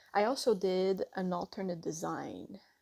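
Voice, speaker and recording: A woman with a Quebec accent speaks at medium pitch and a fairly slow pace, with fairly even intonation and a dark, mellow tone. The sound is dry and close with no echo, on a very clean recording with a silent background. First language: French. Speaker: artist and tattoo artist. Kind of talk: tutorial. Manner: halting, self-correcting.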